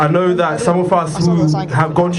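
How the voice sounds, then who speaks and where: There is audible room echo. Noticeable background noise runs through the clip. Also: man. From Zimbabwe. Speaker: protest speaker, law student. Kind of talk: protest speech. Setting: outdoor protest rally. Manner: loud.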